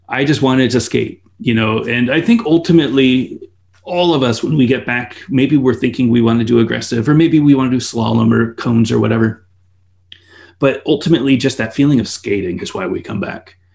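Medium pitch from a man with an American accent, ordinary pitch variation and vocal fry. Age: 40s. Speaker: skate company owner and YouTuber. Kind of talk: casual interview.

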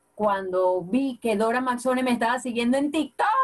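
In a Venezuelan Llanos accent, a woman speaks at a high pitch with ordinary pitch variation. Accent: Venezuelan llanero. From Venezuela, Apure (llanos). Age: 30s. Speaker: comedian and social media creator. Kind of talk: casual interview. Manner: animated.

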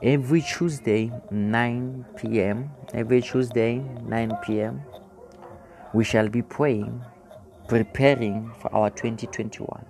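Against noticeable background noise, a man speaks very slowly at a medium pitch with ordinary pitch variation. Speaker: pastor leading online prayer. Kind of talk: sermon and prayer. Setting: broadcast to remote listeners. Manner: fervent.

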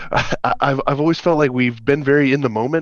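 A man with a plain, everyday voice talks at a moderate pace, medium in pitch with ordinary pitch variation. The background is quiet. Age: 30s. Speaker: band member. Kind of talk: casual chat.

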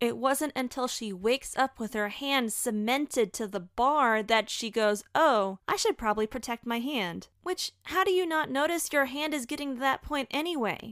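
Lively intonation and hardly any pauses mark this moderately paced speech with an American accent. The recording is very clean with a silent background, and the sound is dry and close with no echo. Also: woman, high pitch for a woman. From Florida. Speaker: podcast host. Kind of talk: solo review podcast.

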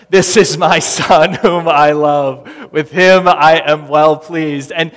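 In a put-on character voice, a man booms at a fairly high pitch and a fairly slow pace. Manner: solemn, majestic.

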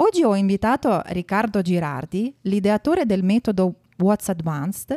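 A woman's dark, mellow tone at a moderate pace, dry and close with no echo, in a very clean recording against a silent background. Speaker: podcast host. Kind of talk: interview intro and chat.

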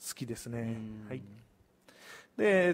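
A man speaks in a Kansai accent with ordinary pitch variation. The recording is very clean and the background silent. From Osaka, Hirakata (Kansai). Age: 30s. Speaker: community business owner. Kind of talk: live-stream interview.

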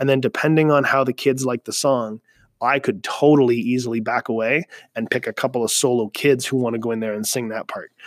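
With a Canadian accent and a medium pitch, a man speaks at a fairly quick pace with fairly even intonation, in a dry, close sound with no echo. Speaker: music teacher. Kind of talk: solo podcast monologue. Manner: fast; hesitant fillers.

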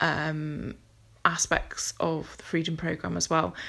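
A woman is speaking. She has a British accent. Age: 40. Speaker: podcast host. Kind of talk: solo monologue podcast. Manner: hesitant, many ums.

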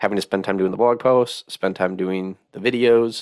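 A man with an American accent speaks in a fairly low pitch. The recording is very clean with a silent background and a dry, close sound with no echo. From Wisconsin. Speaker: podcast host and project manager. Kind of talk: interview conversation. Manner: casual, with fillers.

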